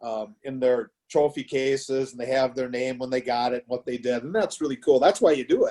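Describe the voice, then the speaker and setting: With a Wisconsin accent and a dark, mellow tone, a man talks at a fairly quick pace and a medium pitch. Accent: Upper Midwest (Wisconsin). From Wisconsin, small town. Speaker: high school baseball coach. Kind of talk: casual interview. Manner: loud.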